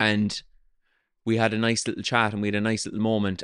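A man speaks with a Cork accent at a fairly low pitch. The background is quiet. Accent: Irish, Cork. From south of Ireland. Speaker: podcast host and comedian. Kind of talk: casual interview chat. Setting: cafe restaurant in Cork.

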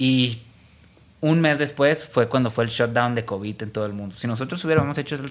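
A plain, everyday voice, fairly quick, with ordinary pitch variation, on a very clean recording with a silent background. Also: man. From Mexico, Culiacán, Sinaloa. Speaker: fashion designer. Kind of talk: interview.

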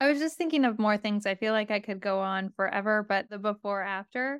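Recorded with a dry, close sound and no echo, a woman with an unremarkable speaking voice talks at a moderate pace and a fairly high pitch. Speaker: program alum. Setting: video call.

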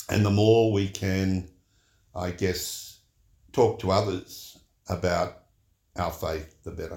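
A man's very slow, somewhat breathy voice with an Australian accent, very deep, low pitch, monotone, flat intonation and long, frequent pauses. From Sydney, Australia. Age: 70s. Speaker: church member and retired HR executive. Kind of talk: casual interview conversation about faith. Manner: thoughtful, witty.

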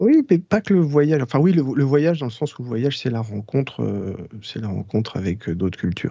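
Barely pausing, a man with a medium pitch and a dark, mellow tone speaks at a moderate pace with very wide pitch swings. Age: 40s. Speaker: jazz trumpeter. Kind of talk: casual interview. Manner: halting.

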